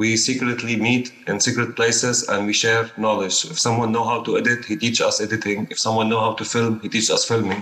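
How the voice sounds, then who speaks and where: Hardly pausing, a man at medium pitch talks at a fairly quick pace with monotone, flat intonation amid noticeable background noise. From Syria. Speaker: documentary filmmaker. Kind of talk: panel discussion.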